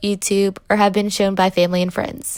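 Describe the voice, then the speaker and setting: In an American accent, a woman with a plain, everyday voice talks at a fairly quick pace and a medium pitch. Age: 20s. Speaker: student. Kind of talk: scripted narration; phone call interview.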